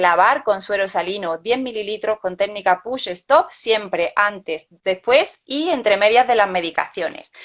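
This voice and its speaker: Medium pitch from a woman, with ordinary pitch variation. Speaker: vascular access nurse. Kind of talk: webinar lecture. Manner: fast.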